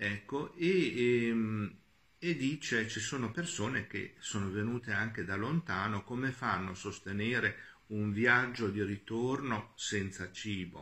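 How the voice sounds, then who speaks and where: A man speaks at a very slow pace with a medium pitch. His pitch varies in an ordinary way. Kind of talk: homily. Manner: halting.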